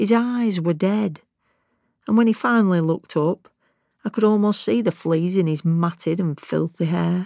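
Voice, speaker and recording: In a Lancashire accent, a woman talks at a moderate pace with a fairly low pitch, ordinary pitch variation and a dark, mellow tone, on a very clean recording with a silent background. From Lancashire, northern England. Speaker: retired senior police officer. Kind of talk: memoir-style interview.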